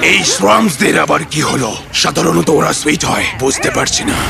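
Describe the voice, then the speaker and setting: A man's put-on character voice, fairly high-pitched, at a moderate pace with clear background noise. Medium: fan dub.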